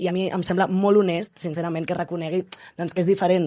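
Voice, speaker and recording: Rushing at a very fast pace, a woman speaks in a dark, mellow tone at a fairly low pitch. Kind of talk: casual conversation.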